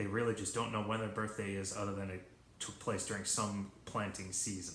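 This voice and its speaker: A soft-spoken voice at a fairly quick pace, monotone and flat in intonation, with audible room echo. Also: man, fairly low pitch for a man. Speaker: high school history teacher. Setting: home video recording at midnight. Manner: soft-spoken, talking quietly.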